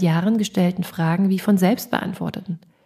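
A woman's dark, mellow, somewhat breathy voice at a fairly quick pace. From East Germany. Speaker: podcast host and composer. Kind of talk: reading aloud.

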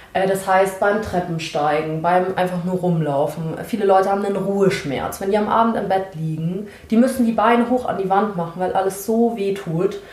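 Moderate pace with ordinary pitch variation and hardly any pauses, over noticeable background noise and audible room echo. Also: woman, medium pitch for a woman. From Germany, Munich. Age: 20s. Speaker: sociology student and activist. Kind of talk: casual interview conversation.

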